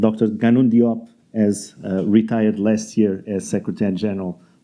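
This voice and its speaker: Fairly quick talk from a man in a dark, mellow tone, fairly low pitched with fairly even intonation, over a quiet background. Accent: Portuguese. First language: Portuguese. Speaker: debate moderator. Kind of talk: panel introduction at a conference. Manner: halting.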